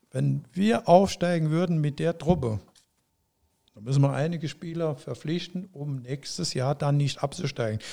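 This man has a dark, mellow tone and a fairly high pitch, with lively intonation, captured in a very clean recording against a silent background. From Saarland, Germany. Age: 70s. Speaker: former footballer. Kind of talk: interview.

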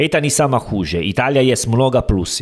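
With music in the background, a man in an Italian accent speaks with very wide pitch swings. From Italy. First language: Italian (speaking Russian). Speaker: podcast co-host. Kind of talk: casual chat. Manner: halting.

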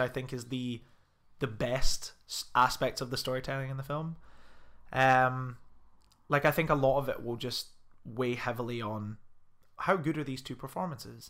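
A man with a Scottish accent, a bright, sharp tone and fairly high pitch, at a moderate pace with fairly even intonation, on a very clean recording with a silent background. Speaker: film podcast host. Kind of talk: casual chat. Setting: home recording in a flat.

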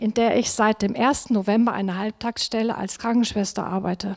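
A woman talks with a fairly high pitch. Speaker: nurse. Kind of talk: testimony. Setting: church service. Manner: reading from notes.

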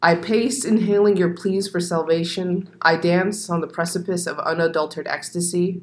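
A woman with an American accent speaks in a normal speaking voice. Her pitch is fairly low, and her intonation fairly even. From US Southwest desert, Arizona. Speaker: poet. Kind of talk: casual chat; poetry reading.

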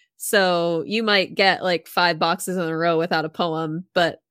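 In an unremarkable speaking voice, a woman talks at a moderate pace with a fairly low pitch, the sound dry and close with no echo. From Massachusetts, US. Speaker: game developer and streamer. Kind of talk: casual interview.

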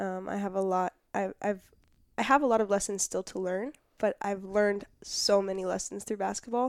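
A woman with an American accent and a plain, everyday voice speaks at a medium pitch and moderate pace, in a very clean recording with a silent background and a dry, close sound with no echo. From Southern California, Orange County. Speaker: college basketball player. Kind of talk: interview. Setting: studio.

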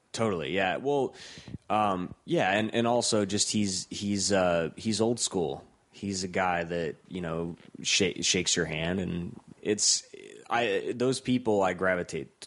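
At a fairly slow pace, a man talks in a very deep, low voice. His pitch varies in an ordinary way. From US Midwest, Cleveland, Ohio. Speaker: documentary filmmaker and director. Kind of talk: casual interview chat.

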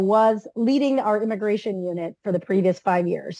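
This woman talks at a very fast pace. Her fairly high voice has a dark, mellow tone. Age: 40s. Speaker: nonprofit legal director. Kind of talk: interview.

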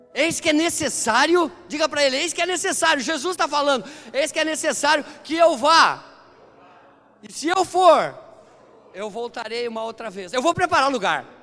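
Raised and projected, this man's voice sits at an extremely high pitch, with lively intonation, an animated tone, big swings in loudness, and long, frequent pauses. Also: moderate pace. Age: 50s. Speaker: pastor. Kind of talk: sermon.

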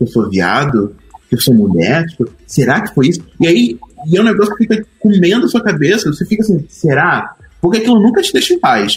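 Speaking fairly quickly with a Rio de Janeiro accent, a man uses a high pitch with very wide pitch swings. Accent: carioca. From Rio de Janeiro periphery, Duque de Caxias. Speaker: designer. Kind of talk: casual chat.

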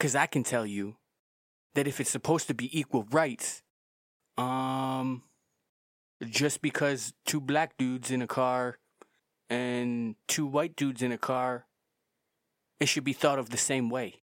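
Speaking fairly slowly with long, frequent pauses, a man keeps a medium pitch and fairly even intonation on a very clean recording with a silent background and dry, close sound with no echo. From Canada. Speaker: podcast host. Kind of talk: opinion monologue.

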